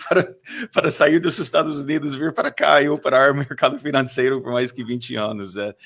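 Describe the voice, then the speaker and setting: A man with a strong Texan accent at a moderate pace, on a very clean recording against a silent background. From Texas. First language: English (speaking Portuguese). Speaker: fund manager. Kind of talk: podcast interview. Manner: halting, many fillers.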